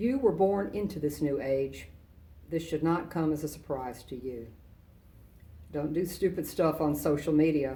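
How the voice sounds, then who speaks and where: Audible room echo surrounds a woman with a very deep, low pitch and a dark, mellow tone, speaking at a moderate pace with ordinary pitch variation and long, frequent pauses. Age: 60s. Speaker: retired army general, guest speaker. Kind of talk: commencement speech. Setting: virtual ceremony. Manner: formal.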